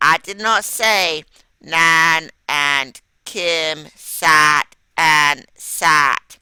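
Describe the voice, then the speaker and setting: A put-on, robotic character voice at a middle pitch, delivered at a very slow pace. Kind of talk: reading demo. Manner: flat monotone, robotic.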